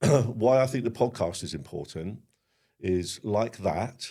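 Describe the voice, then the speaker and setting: A man's dark, mellow tone at a very slow pace, with ordinary pitch variation. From Sussex, England. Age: 50s. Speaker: bonfire society member and former chairman. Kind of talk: podcast interview. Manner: hesitant, many fillers.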